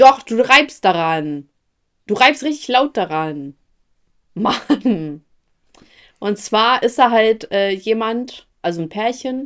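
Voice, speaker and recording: A woman talks at a very slow pace with long, frequent pauses. Her fairly high pitch moves in very wide swings. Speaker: podcast co-host. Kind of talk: casual chat.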